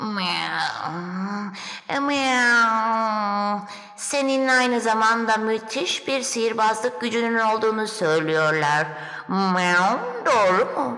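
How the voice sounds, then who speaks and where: A female-sounding voice is put on as a character, fairly high in pitch. It moves at a very slow pace over light background noise. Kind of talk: children's fairy tale acting. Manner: coaxing, teasing, purring miaus.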